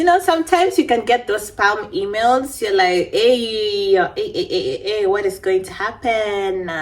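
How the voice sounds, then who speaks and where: A woman with a non-native accent talks at a moderate pace with hardly any pauses, her fairly high pitch swinging very widely, over noticeable background noise. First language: not English. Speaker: beauty vlogger. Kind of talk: casual storytime chat. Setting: at home.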